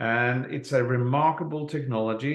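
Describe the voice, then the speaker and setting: Medium-pitched man with a Norwegian accent and fairly even intonation. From Norway. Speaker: network marketing presenter. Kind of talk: sales presentation.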